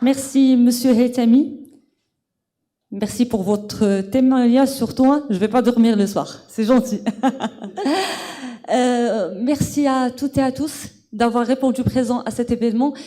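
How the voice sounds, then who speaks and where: Speaking at a very slow pace with long, frequent pauses, a woman uses a high pitch. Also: fairly even intonation. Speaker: event host. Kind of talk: event hosting.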